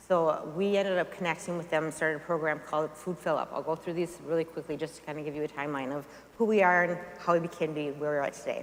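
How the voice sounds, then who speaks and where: The woman talks at a very fast pace, fairly low in pitch, with fairly even intonation. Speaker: nonprofit founder. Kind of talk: talk to a church audience.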